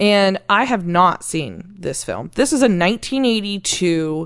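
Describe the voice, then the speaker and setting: A woman with an American accent talks at a fairly slow pace and a medium pitch. Her intonation is lively, and the background is quiet. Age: 30s. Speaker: podcast co-host. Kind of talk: casual chat.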